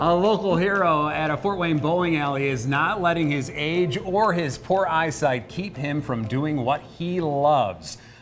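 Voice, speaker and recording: A man talks at a fairly slow pace with hardly any pauses. Noticeable background noise runs underneath. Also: fairly high pitch for a man, ordinary pitch variation. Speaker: TV news anchor. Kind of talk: TV news intro read.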